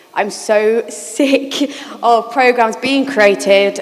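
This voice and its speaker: Noticeable background noise fills the clip. Over it, a woman talks with ordinary pitch variation. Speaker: charity programme manager. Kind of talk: panel discussion. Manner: fast.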